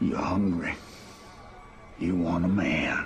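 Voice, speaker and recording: A man's growling, put-on character voice over clear background noise. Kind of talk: preachy sermon tone. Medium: short film.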